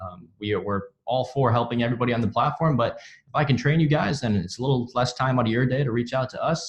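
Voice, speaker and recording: Somewhat breathy, a man's voice moves along at a fairly quick clip. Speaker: software onboarding team lead. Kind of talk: webinar tutorial. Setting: office, online webinar. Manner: halting with fillers.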